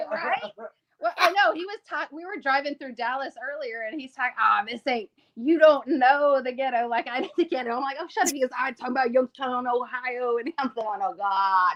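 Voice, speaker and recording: A woman speaks fairly quickly with a Texas accent, her pitch high and her tone animated, with lively intonation. Her loudness swings widely, and the sound is dry and close with no echo. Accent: Texas twang, southern. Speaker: podcast guest. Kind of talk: casual chat.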